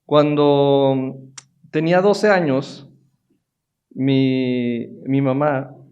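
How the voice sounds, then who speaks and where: A man with a northern Mexican accent, medium in pitch, with audible room echo. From northern Mexico, Monterrey. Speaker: technology executive. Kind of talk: conference talk. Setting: stage with audience. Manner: halting, with many fillers.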